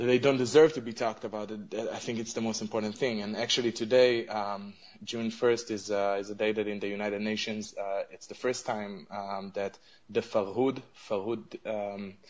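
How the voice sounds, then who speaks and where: A man with an Arabic accent and a fairly low-pitched voice. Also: fairly even intonation, moderate pace. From Israel. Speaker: advocacy group representative. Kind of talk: radio interview. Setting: radio interview. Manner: halting, many fillers.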